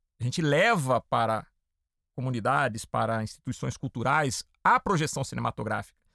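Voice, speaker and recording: An animated man's voice of medium pitch with vocal fry, moderate pace and ordinary pitch variation, in a dry, close sound with no echo on a very clean recording with a silent background. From interior of São Paulo state, Brazil (Piracicaba). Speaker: podcast host. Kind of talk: podcast interview.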